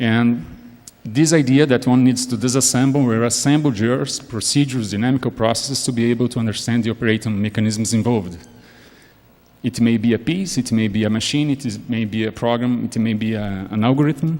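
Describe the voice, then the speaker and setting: Fairly quick speech from a man with a non-native accent, medium pitch and ordinary pitch variation. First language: not English. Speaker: academic panelist. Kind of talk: academic lecture. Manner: halting, many repetitions.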